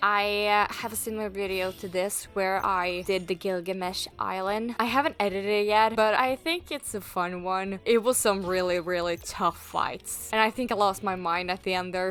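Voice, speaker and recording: A woman speaks with a Norwegian accent at a medium pitch, her pitch varying in an ordinary way. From Norway. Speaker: gaming YouTuber. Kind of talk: casual gameplay commentary.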